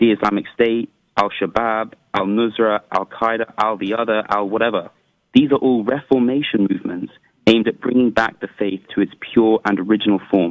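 Against a quiet background, a man with an English accent talks at a fairly quick pace with fairly even intonation. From England. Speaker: caller. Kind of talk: call-in debate. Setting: phone call. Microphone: phone line.

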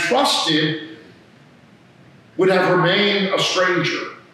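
A man's voice, high for a man, in a room with strong echo. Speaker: priest. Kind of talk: sermon. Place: church. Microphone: podium.

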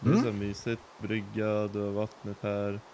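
Fairly low in pitch, a man talks in an unremarkable speaking voice with fairly even intonation. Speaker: fellow Minecraft player. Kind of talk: casual chat. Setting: voice chat while gaming.

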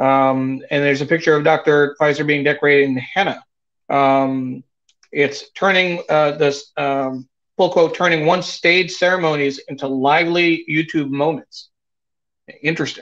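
Speaking at a moderate pace with fairly even intonation, a man with an American accent has a fairly high voice over a quiet background. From New York. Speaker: talk show guest host and producer; talk show guest host. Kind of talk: live-streamed interview show. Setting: live video stream. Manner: halting, many filler words. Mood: candid, reflective. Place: home room. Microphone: video call.

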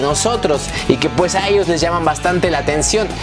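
Clear music plays in the background as a man talks. His fairly high voice has lively intonation. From Mexico. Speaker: YouTube vlogger. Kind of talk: casual talk to camera. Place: home room. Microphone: lapel.

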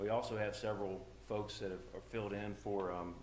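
Audible room echo and light background noise surround a man speaking at a fairly low pitch. His intonation is fairly even and his pace moderate. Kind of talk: church announcements. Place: church. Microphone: camera far.

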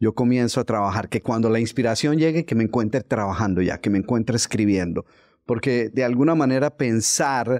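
A male speaker against a quiet background. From Colombia, Bogotá. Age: 60s. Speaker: author and motivational speaker. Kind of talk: interview conversation. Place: studio. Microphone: studio mic.

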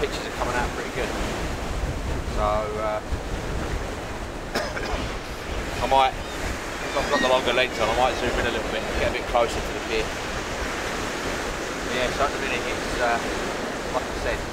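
Through loud background noise, a man speaks at a moderate pace with long, frequent pauses. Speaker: photography vlogger. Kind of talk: casual vlog chat. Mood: relaxed, chatty. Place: beach. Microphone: camera far.

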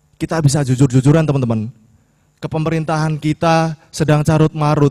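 A man with a fairly high pitch and a dark, mellow tone speaks at a moderate pace in a monotone, flat way against a quiet background. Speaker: student leader; speaker. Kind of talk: speech. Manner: impassioned. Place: hall. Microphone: podium.

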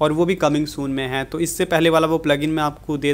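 A man's monotone, flat intonation at a fairly quick pace. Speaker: tech youtuber. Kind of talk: tutorial. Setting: home pc setup. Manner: casual, informal. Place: home room.

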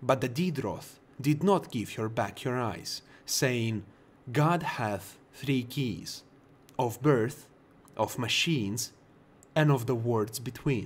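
Slowly and with long, frequent pauses, a man with a medium-pitched, somewhat breathy voice speaks with a Russian accent and ordinary pitch variation. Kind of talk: bedtime lore book reading.

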